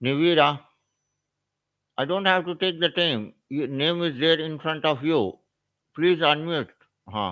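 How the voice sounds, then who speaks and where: With an Indian accent, a man talks at a fairly slow pace in a fairly high voice, his pitch varying in an ordinary way and his speech broken by long, frequent pauses. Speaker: SAP trainer. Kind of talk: live online class.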